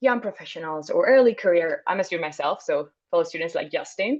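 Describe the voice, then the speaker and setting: The speaker is a woman with a Spanish accent. Her pace is fairly quick. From Spain. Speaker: international graduate student. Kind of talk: webinar panel discussion.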